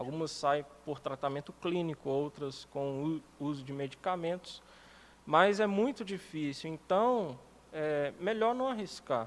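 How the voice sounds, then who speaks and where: Fairly slow and lively in intonation, a man speaks in a normal speaking voice at a fairly high pitch. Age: 30s. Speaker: writer and musician, hospital doorman. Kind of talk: casual interview.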